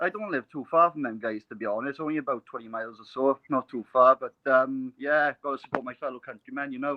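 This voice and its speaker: A man with a Welsh accent speaks very fast at a medium pitch, with hardly any pauses. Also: ordinary pitch variation. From Wales. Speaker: caller. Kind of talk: casual chat. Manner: halting, many fillers.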